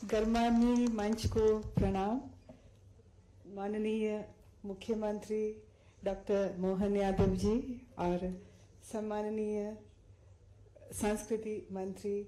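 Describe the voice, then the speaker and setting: A woman's fairly high voice in a monotone, flat delivery, broken by long, frequent pauses, with audible room echo. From Sri Lanka. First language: Sinhala (speaking Hindi). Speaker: Hindi teacher, award recipient. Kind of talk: acceptance speech. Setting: stage with audience. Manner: halting, many fillers.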